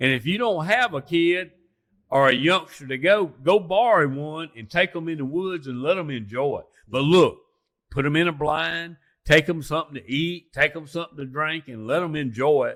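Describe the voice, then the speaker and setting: Speaking with an Alabama accent at a moderate pace, a man with a fairly high pitch shows ordinary pitch variation and big swings in loudness. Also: very clean recording, silent background. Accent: Southern US (Alabama). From US South, lower Alabama. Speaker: turkey hunter and outdoorsman. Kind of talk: casual chat. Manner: animated.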